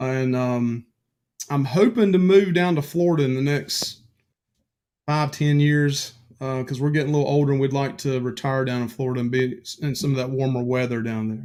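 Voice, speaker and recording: Here is a man with a Southern US accent and a dark, mellow tone. His pitch is medium, with ordinary pitch variation. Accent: Southern drawl. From North Carolina, Piedmont. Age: 40s. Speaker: guest. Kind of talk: casual chat. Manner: hesitant, filler-heavy.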